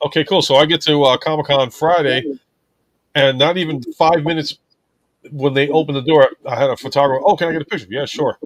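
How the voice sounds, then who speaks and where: A man's mumbling at a very fast pace, fairly high in pitch, with fairly even intonation and a dry, close sound with no echo. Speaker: live stream host. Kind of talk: casual chat. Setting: live stream.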